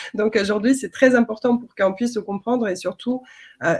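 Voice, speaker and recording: A woman speaks with fairly even intonation. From outside France. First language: not French (speaking French). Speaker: design system trainer. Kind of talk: webinar panel discussion.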